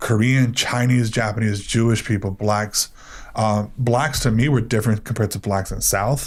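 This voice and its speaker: A man speaks at a moderate pace. His pitch is medium and his intonation fairly even. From Miami, Florida (Cuban-American). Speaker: panel guest. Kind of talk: casual chat.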